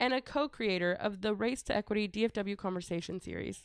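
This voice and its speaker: The voice has an American accent and ordinary pitch variation, heard on a very clean recording with a silent background and a dry, close sound with no echo. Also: woman. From Texas. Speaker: podcast host. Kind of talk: casual chat. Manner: animated.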